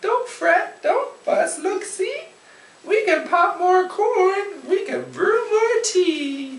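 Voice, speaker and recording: A woman puts on a squeaky character voice at an extremely high pitch, with lively intonation, a very slow pace and audible echo. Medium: read story.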